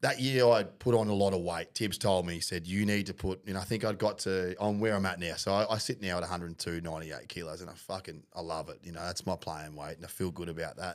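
A man with an Australian accent speaks at a very fast pace in a very deep, low pitch, with hardly any pauses. His intonation is fairly even, his loudness swings widely, and the recording is very clean with a silent background. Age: 30s. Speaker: podcast host, amateur rugby league player. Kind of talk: casual chat.

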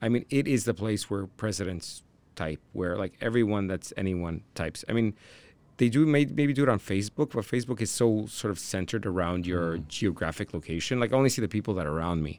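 A man's fairly low, plain, everyday voice with lively intonation at a fairly quick pace, on a very clean recording with a silent background. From Canada, Toronto. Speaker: tech entrepreneur. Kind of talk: interview.

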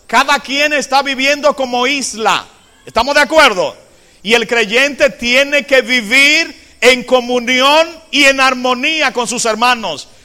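A man with an extremely high voice, raised and projected, at a very slow pace with fairly even intonation. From Dominican Republic, Cambita (San Cristóbal). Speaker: Adventist pastor / Bible teacher. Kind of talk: sermon / Bible study lecture.

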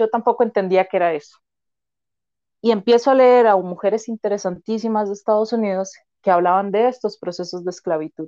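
Dry and close with no echo, the recording carries a woman's dark, mellow tone. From Costa Rica, Turrialba (Cartago). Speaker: psychologist and sociologist. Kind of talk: interview conversation.

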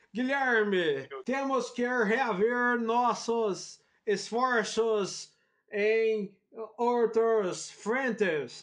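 This is a man speaking. His pitch is high. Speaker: podcast host. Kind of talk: comedic casual chat. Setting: recording from home. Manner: animated, showman-like.

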